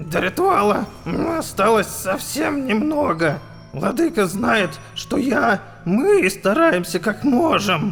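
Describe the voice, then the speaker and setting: Over clear background music, a man puts on a character voice with a high pitch and very wide pitch swings. He speaks at a fairly slow pace with long, frequent pauses. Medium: audio drama. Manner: fanatical.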